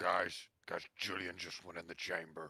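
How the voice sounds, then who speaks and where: A man puts on a raspy character voice and keeps a moderate pace. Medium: actual play. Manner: urgent, concerned.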